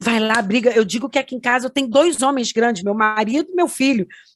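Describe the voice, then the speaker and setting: Fairly quick delivery by a woman, pitch varying in an ordinary way. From Rio de Janeiro, Brazil. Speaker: music producer, granddaughter of a famous singer. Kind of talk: interview testimony. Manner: halting, many fillers.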